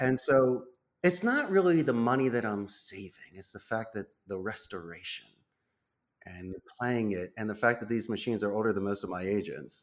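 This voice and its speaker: On a very clean recording with a silent background, a man talks at a moderate pace and medium pitch, with lively intonation and big swings in loudness. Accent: Philadelphia. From Northeast Philadelphia, US. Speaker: call center CEO. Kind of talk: interview.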